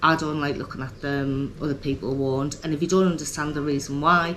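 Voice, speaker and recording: At a moderate pace, a woman with a very deep, low pitch speaks in a monotone, flat way amid audible room echo. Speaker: vlogger. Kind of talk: personal vlog talk. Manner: hesitant, many ums.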